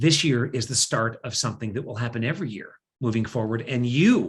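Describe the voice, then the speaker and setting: A man speaks with an American accent in an unremarkable speaking voice, his pitch medium. The pace is fairly quick, with ordinary pitch variation. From US Pacific Northwest. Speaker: event host. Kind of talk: fundraising appeal.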